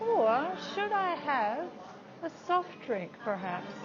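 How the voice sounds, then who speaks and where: A woman speaking at a very slow pace with very wide pitch swings, music in the background. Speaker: English teacher. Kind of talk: English lesson vlog to camera. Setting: cafe.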